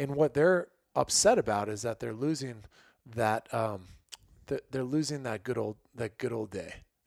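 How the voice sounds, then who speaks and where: A man with an American accent talks at a medium pitch and moderate pace, with ordinary pitch variation. His is a normal speaking voice, recorded dry and close with no echo. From US Midwest, Illinois. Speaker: hunting photographer and fishing guide. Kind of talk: casual chat.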